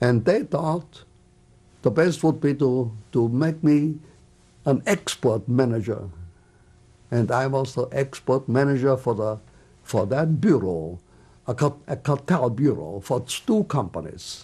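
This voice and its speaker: The voice is somewhat breathy, with lively intonation at a fairly slow pace and long, frequent pauses. The recording is very clean, with a silent background. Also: man, medium pitch for a man. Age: 80s+. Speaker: Holocaust survivor. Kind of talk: oral history interview answer.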